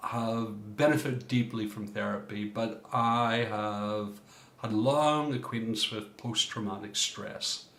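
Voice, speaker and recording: Amid noticeable background noise and audible room echo, a man with an Irish accent talks at a fairly slow pace, medium in pitch and fairly even in intonation. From Ireland. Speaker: coach and former minister. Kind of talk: workshop talk.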